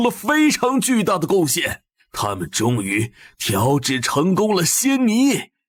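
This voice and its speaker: A man performs a cartoonish character voice with very wide pitch swings at a fairly slow pace. The recording is very clean, with a silent background. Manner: blustery.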